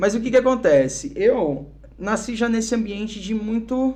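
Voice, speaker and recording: A man with a São Paulo accent speaks at a moderate pace in a high pitch, his intonation lively. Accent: São Paulo (paulista) Brazilian Portuguese. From Brazil, Curitiba then São Paulo from age 12. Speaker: musician and missionary, podcast guest. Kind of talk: casual podcast interview, testimony.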